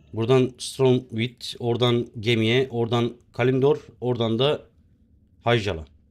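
Using a normal speaking voice, a man talks fairly slowly at a medium pitch with fairly even intonation. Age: 30s. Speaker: game streamer. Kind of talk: live gaming stream chat. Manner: casual, chatty.

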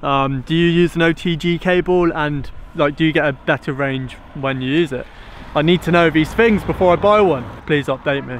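A man talks at a moderate pace, with a dry sound with no echo and light background noise. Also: ordinary pitch variation. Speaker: drone vlogger. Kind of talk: casual vlog chat. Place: open country. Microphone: phone near.

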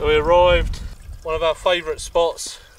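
A man speaks at a fairly slow pace with fairly even intonation, and audible room echo fills the recording.

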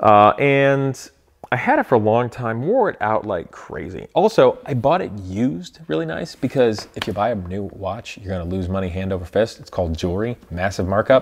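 With an American accent, a man with a fairly low pitch talks in an animated tone and lively intonation at a moderate pace, hardly pausing, over light background noise. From Ohio, US Midwest. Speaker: car YouTuber. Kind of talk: casual vlog monologue. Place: garage.

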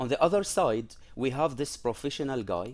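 At a moderate pace, a man talks in an unremarkable speaking voice with ordinary pitch variation. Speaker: presenter. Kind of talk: lecture. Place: home room. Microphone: headset.

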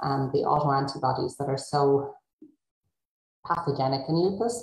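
A woman speaks with a very deep, low pitch and a somewhat breathy quality. Her pace is moderate and her pitch variation ordinary. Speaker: rheumatology researcher. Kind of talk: panel discussion.

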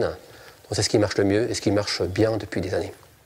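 A man speaks at a moderate pace. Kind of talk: interview answer. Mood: calm, friendly explanation.

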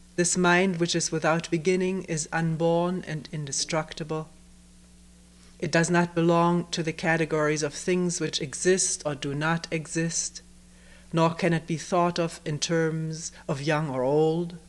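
Her voice is fairly low for a woman, with monotone, flat intonation. She speaks at a fairly slow pace. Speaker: meditation retreat teacher. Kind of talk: reading a text aloud in a talk. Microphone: old recording.

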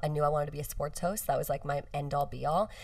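A woman talks at a fast pace with ordinary pitch variation.

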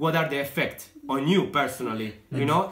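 A man's voice, ordinary in its pitch variation, rings with audible room echo. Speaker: guest. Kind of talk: interview answer. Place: home room.

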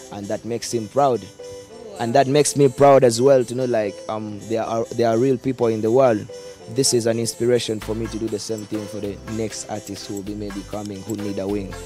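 Clear music plays behind a man speaking at a medium pitch. His pitch varies in an ordinary way, and the sound is dry with no echo. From Uganda. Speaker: dancehall musician. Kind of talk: interview answer. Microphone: handheld.

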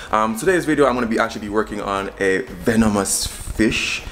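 With light background noise, a man speaks at a fairly quick pace. His pitch is fairly low, with ordinary variation. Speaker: cooking vlogger. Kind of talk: casual vlog chat. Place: kitchen. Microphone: phone near.

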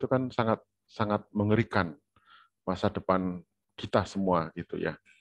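A man with an unremarkable speaking voice, fairly low pitch and ordinary pitch variation, at a fairly quick pace, in a dry sound with no echo and a quiet background. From Indonesia. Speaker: university lecturer. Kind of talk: online lecture. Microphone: video call.

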